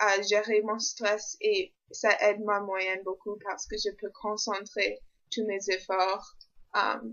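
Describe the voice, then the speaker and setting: Someone speaks at a very slow pace with an English accent. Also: woman, medium pitch for a woman, fairly even intonation. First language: English (speaking French). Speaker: university student vlogger. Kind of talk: vlog. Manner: halting, many hesitations.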